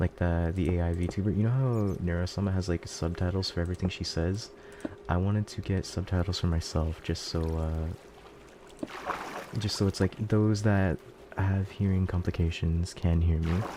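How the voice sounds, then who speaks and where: Over noticeable background noise, a man with a very deep, low pitch speaks at a moderate pace with fairly even intonation. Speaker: VTuber streamer. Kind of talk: live gaming stream. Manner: mumbling.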